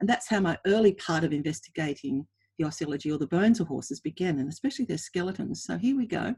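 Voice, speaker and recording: Speaking at a very fast pace in an Australian accent, a woman uses a fairly low, somewhat breathy voice with a dark, mellow tone and very wide pitch swings, recorded dry and close with no echo. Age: 60s. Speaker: equine anatomy researcher. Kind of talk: webinar presentation.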